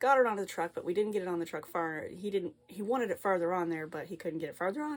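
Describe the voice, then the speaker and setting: In a plain, everyday voice, the speaker uses lively intonation on a very clean recording with a silent background. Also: woman. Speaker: flosstube cross-stitch vlogger. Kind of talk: casual chat.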